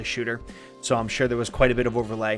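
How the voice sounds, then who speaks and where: A man talks while music plays in the background. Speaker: video game discussion streamer. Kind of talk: casual live stream talk. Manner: fast.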